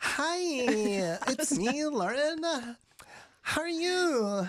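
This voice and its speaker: A woman's put-on character voice, high in pitch with very wide swings, at a very slow pace. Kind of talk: cheerfully greeting. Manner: syrupy sweet, overly polite.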